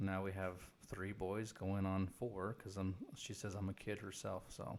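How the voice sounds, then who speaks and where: A man speaks with a Texan accent at a fairly low pitch, fairly slowly, in a monotone, flat intonation. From Texas, Corpus Christi (born in Guatemala). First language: Spanish. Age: 30s. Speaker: Elvis tribute performer. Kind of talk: podcast interview.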